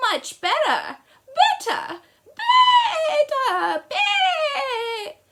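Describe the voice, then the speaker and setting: This is a put-on character voice with an extremely high, squeaky pitch. It moves at a very slow pace. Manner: flustered, bleating repetition.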